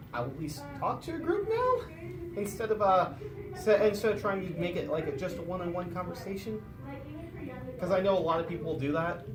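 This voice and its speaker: Music plays in the background. The speaker goes at a fairly quick pace but leaves long, frequent pauses. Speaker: convention attendee. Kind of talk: convention panel talk. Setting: convention panel with audience.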